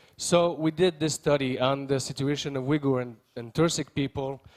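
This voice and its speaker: With a Quebec accent and fairly even intonation, a man speaks in a dry, close sound with no echo. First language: French. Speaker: member of parliament. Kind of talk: conference speech. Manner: halting, many fillers and repeats.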